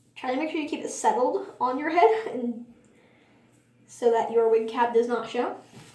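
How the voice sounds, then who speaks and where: With long, frequent pauses, a woman with a high voice speaks at a moderate pace and lively intonation, and audible room echo surrounds her. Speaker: beginner beauty vlogger. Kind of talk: makeup tutorial.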